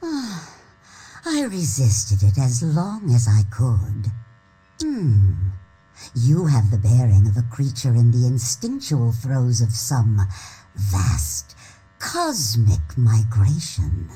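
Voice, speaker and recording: A man performs a put-on character voice at medium pitch. He speaks at a very slow pace. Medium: video game. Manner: weary, lofty.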